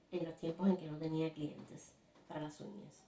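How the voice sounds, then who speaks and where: This is a woman speaking. She has a Cuban accent. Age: 50s. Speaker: textile artist. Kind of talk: personal story told to camera.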